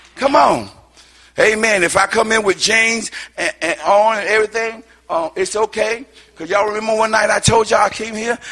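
A man with a high pitch speaks in a raised, projected voice, moving at a fairly quick pace with fairly even intonation. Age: old. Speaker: guest preacher. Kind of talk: sermon.

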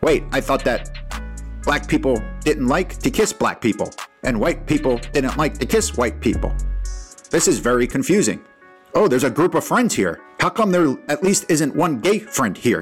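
A robotic, put-on character voice speaks at a moderate pace. Faint music plays in the background. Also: man, fairly high pitch for a man.

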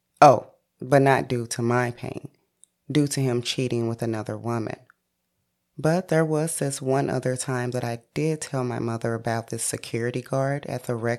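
At a moderate pace, a woman with an American accent speaks in a very deep, low pitch. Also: very clean recording, silent background. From St. Louis, Missouri. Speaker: podcast host. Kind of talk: personal storytelling monologue.

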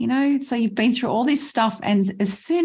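A somewhat breathy voice with lively intonation comes through in a very clean recording with a silent background. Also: woman. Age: 60s. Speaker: healer. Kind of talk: casual chat.

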